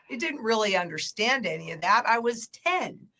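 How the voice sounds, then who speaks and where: Here is an unremarkable speaking voice. It moves at a fairly slow pace. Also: woman. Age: 60s. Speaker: market analyst, former banker. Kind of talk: casual chat.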